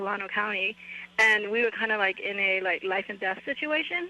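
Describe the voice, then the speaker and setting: A woman talks fairly quickly over noticeable background noise. Her voice sits at a medium pitch and shifts in a normal way. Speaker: caller. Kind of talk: casual chat.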